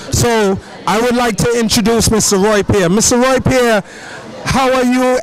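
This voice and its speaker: Over noticeable background noise, the speaker keeps a moderate pace and ordinary pitch variation. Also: man. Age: 40s. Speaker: event reporter. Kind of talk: on-location interview. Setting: outdoors at festival.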